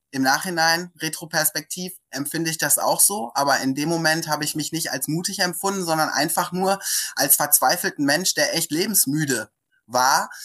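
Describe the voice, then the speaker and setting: Very deep and low in pitch, a woman speaks at a moderate pace with ordinary pitch variation. The recording is very clean, with a silent background. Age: 40s. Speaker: coach. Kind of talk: interview.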